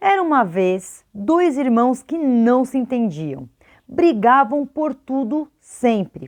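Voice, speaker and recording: Against a quiet background, a woman speaks in a high pitch with very wide pitch swings. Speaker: teacher and educational youtuber. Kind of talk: educational video talk.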